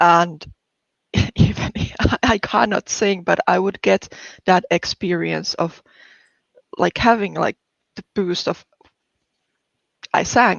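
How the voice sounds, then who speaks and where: Delivery here is very slow. Frequent long pauses break it up. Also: woman. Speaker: game jam participant, larp designer. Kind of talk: interview. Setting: live stream. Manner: animated.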